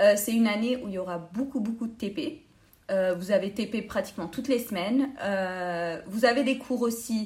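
The voice is somewhat breathy, at a moderate pace with ordinary pitch variation. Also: woman, fairly high pitch for a woman. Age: 20s. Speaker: dental student. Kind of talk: interview.

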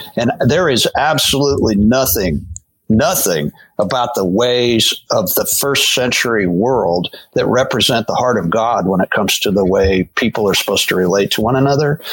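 A man speaks with an ordinary speaking voice at a medium pitch and a moderate pace. His intonation is lively and his loudness very even. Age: 60s. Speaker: pastor. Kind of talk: casual chat.

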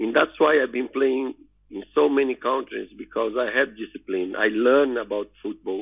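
A man with a Portuguese accent talks at a moderate pace. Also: medium pitch for a man, ordinary pitch variation. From northeast Brazil. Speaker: retired footballer. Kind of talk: interview. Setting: phone call. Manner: halting.

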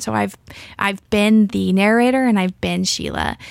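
A woman with an American accent talks at a moderate pace, the recording very clean with a silent background. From US South. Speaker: high school English teacher and writer. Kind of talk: casual interview. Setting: radio studio.

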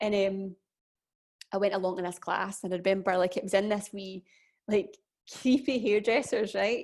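Against a quiet background, a woman talks at a moderate pace and medium pitch with ordinary pitch variation. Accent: Glaswegian. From Scotland, Glasgow. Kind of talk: casual chat.

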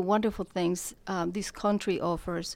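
A woman speaks with a Spanish accent and fairly even intonation. The recording is very clean, with a silent background. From Colombia. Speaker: real estate broker. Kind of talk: casual interview.

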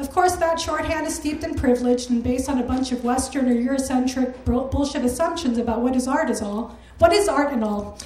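A woman with an American accent talks at a fairly quick pace with hardly any pauses, her pitch high and its variation ordinary. Noticeable background noise sits behind her. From Chicago. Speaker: culture writer. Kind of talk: read op-ed essay. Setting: stage with audience.

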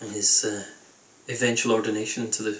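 Over noticeable background noise, a man with an American accent talks at a fairly low pitch in a flat monotone. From New Hampshire, US. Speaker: podcast host. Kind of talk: interview; scripted outro.

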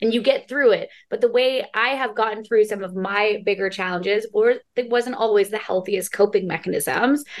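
A woman's fairly high voice at a moderate pace, with ordinary pitch variation, hardly any pauses and a normal speaking voice. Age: 30s. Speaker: podcast host and TV host. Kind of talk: casual interview chat.

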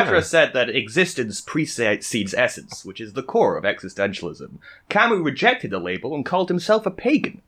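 Fairly high for a man, his bright, sharp voice moves at a fairly quick pace with very wide pitch swings, big swings in loudness and vocal fry. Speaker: podcast co-host.

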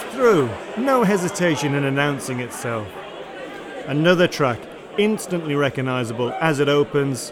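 Crowd noise fills the background. A man speaks with very wide pitch swings. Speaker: radio host. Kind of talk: radio DJ patter introducing live tracks. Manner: clear, even-paced, informal, with chuckles.

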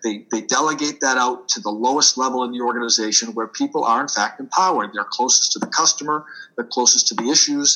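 Here a man with a Boston accent talks at a very fast pace with hardly any pauses. His pitch is medium, with ordinary pitch variation. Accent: Boston accent, drops R's. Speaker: author and business leader. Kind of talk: interview.

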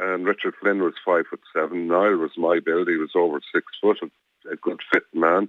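A man at a moderate pace with an Irish accent. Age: 70s. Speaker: campaigner, victim's relative. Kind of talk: phone interview. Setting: phone call.

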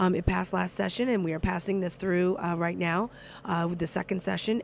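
Racing at a very fast pace, a woman talks with fairly even intonation. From moved around US (New York, Milwaukee, Texas). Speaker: state legislator. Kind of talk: casual interview. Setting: cafe.

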